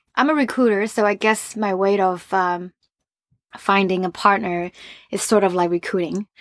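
In a plain, everyday voice, a woman speaks at a moderate pace and medium pitch with ordinary pitch variation, in a dry, close sound with no echo. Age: 30s. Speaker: recruiter. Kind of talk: casual chat.

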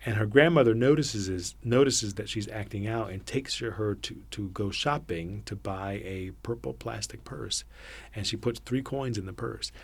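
With vocal fry and a fairly low pitch, a man talks at a moderate pace. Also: ordinary pitch variation. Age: 40s. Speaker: theatre artistic director. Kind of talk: casual chat.

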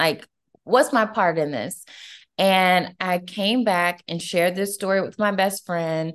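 At a fairly slow pace, a woman with an unremarkable speaking voice talks at medium pitch with ordinary pitch variation against a quiet background. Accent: American. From US South, Atlanta, Georgia. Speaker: entrepreneur and life coach. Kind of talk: interview.

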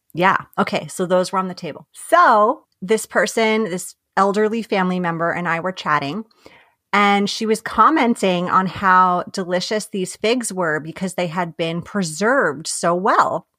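In a New York accent, a woman of medium pitch speaks at a fairly slow pace with ordinary pitch variation. The recording is very clean, the background silent. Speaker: life and business coach. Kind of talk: casual chat.

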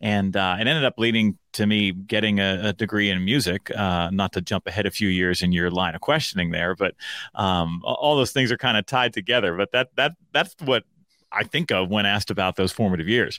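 A man with an American accent and a normal speaking voice, fairly low in pitch, with ordinary pitch variation, a fairly quick pace and very even loudness. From Pennsylvania (central PA, then Pittsburgh). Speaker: workplace speaker, author and podcast host. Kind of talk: casual chat.

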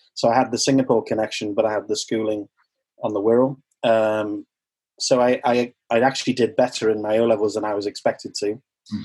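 A man with a medium pitch speaks at a fairly quick pace in a monotone, flat intonation. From Sunderland, north-east England, then Liverpool. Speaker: chef and restaurant owner. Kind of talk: casual interview chat. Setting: video call.

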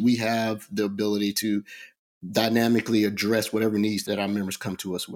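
At a fairly quick pace, a man speaks in a plain, everyday voice at medium pitch. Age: 50s. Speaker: running club co-founder. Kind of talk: interview.

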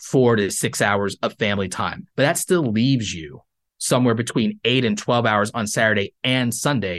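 In an unremarkable speaking voice, a man talks at a moderate pace with ordinary pitch variation against a quiet background. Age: 30s. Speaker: YouTuber and creator economy coach. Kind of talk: interview.

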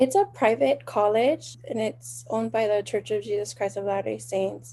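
In a Hawaiian accent, a woman talks at a moderate pace with a dark, mellow, somewhat breathy tone. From Hawaii, windward Oahu. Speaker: small business owner, genealogy family trees. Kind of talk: interview.

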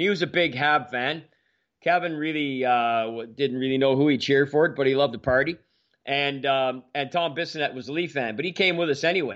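A man with a Canadian accent and an ordinary speaking voice, fairly high in pitch with ordinary pitch variation, at a fairly quick pace over a quiet background. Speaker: hockey podcast co-host. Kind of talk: casual chat.

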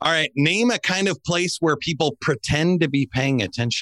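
In a very clean recording with a silent background and a dry, close sound with no echo, a man with vocal fry talks at a moderate pace in a fairly high pitch, his bright, sharp tone moving in very wide pitch swings. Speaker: game show host and speaker. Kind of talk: game show host running a survey-style quiz round. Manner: animated, upbeat; playful, joking.

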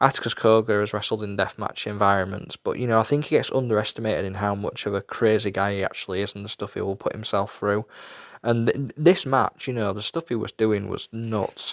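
A man in a Yorkshire accent at a fairly low pitch and a fairly quick pace, with fairly even intonation, on a dry, close sound with no echo and a very clean recording with a silent background. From Yorkshire, England. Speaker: wrestling show reviewer. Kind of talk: solo show review. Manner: hesitant, many fillers.

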